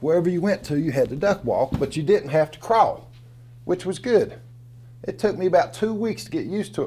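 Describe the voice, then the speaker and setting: A man's dark, mellow tone with an Appalachian accent, very wide pitch swings and a fairly quick pace. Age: 60s. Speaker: storyteller. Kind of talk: storytelling performance. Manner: folksy, conversational.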